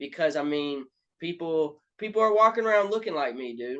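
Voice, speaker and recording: Over a quiet background, a man with a Southern US accent speaks at a moderate pace with ordinary pitch variation. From Alabama, US South. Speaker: rapper. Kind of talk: casual interview.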